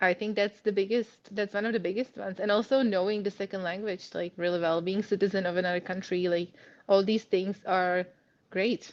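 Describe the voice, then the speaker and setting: A woman's medium-pitched, monotone, flat delivery in a Czech accent at a fairly quick pace. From Czech Republic. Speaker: immigrant sharing career story. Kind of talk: podcast interview.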